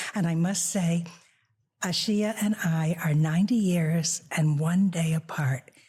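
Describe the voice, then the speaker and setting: A woman with a fairly low pitch and a dark, mellow tone speaks at a fairly slow pace, somewhat breathy, with fairly even intonation and very even loudness. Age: 90s. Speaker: author. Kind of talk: casual chat.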